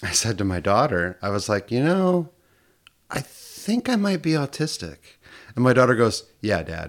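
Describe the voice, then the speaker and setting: A man talking at a fairly slow pace with lively intonation. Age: 40s. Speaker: podcast guest. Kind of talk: casual chat. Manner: halting.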